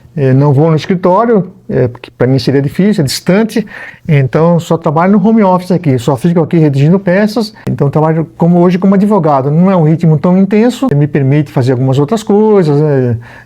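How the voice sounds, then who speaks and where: A man's high voice, fairly quick with hardly any pauses and lively intonation. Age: 60s. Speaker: retired prosecutor, lawyer. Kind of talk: casual interview at home. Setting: home library. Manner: hesitant, many fillers.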